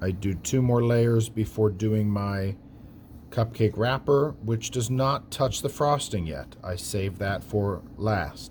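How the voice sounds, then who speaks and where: A man speaks at a very slow pace, somewhat breathy and fairly low in pitch. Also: ordinary pitch variation. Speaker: art teacher. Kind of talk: tutorial.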